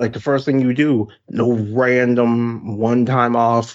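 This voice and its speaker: Here is a man with an American accent. His pitch sits in the medium range. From US South, South Carolina. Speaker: podcast co-host. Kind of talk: casual chat. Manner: animated.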